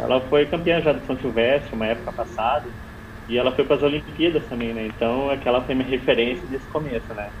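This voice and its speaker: Noticeable background noise sits behind a man speaking at a very fast pace. His pitch is medium and his intonation fairly even. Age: 30s. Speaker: long-distance runner. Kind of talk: interview.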